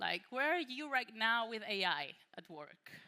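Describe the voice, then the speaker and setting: A fairly slow voice with a Spanish accent, vocal fry, a bright, sharp tone and very wide pitch swings. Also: woman. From Spain, Malaga. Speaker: workshop presenter, AI creative consultant. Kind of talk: conference workshop talk. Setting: conference room with audience. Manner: casual, many fillers.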